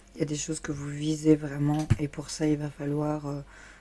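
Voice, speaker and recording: Woman with a very deep, low pitch, a dark, mellow tone and monotone, flat intonation, at a moderate pace. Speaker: tarot reader. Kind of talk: tarot reading. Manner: casual, hesitant with fillers.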